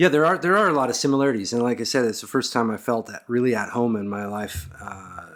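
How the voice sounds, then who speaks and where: A man speaks very fast with an American accent. His intonation is lively. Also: medium pitch for a man, hardly any pauses. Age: 40s. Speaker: podcast host. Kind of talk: interview conversation.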